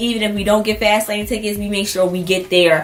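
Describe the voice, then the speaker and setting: Noticeable background noise plays behind a woman who talks fairly quickly. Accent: American. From Baltimore, Maryland, US. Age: 20s. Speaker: YouTuber. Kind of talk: casual vlog monologue.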